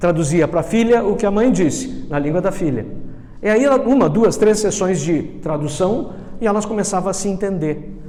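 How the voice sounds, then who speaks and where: A man at a moderate pace with ordinary pitch variation, amid audible room echo and noticeable background noise. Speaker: NLP trainer. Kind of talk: lecture.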